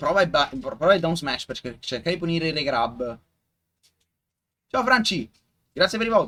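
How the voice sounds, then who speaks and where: A man with an Italian accent speaks at a fairly quick pace in a high pitch, with a bright, sharp tone. His pitch swings very widely, and he takes long, frequent pauses. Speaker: esports commentator. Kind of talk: live commentary. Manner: halting.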